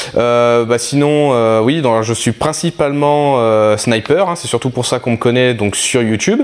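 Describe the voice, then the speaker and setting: Noticeable background noise sits behind a man speaking at a fairly slow pace. He has ordinary pitch variation and hardly any pauses. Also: medium pitch for a man. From southeastern France. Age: 30s. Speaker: airsoft sniper and youtuber. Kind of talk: casual interview chat. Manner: hesitant, many fillers.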